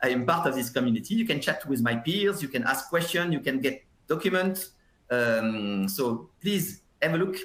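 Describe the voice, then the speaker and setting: With a French accent, a man at a medium pitch talks at a moderate pace, his loudness very even and his pitch swinging very widely. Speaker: software industry consultant, webinar presenter. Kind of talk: webinar presentation. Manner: hesitant, many fillers and repetitions.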